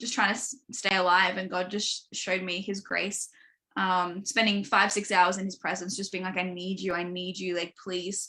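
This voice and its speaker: With an Australian accent, a woman talks at medium pitch in a bright, sharp tone. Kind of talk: podcast interview, personal testimony. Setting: live online stream. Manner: fast; casual, filler-heavy.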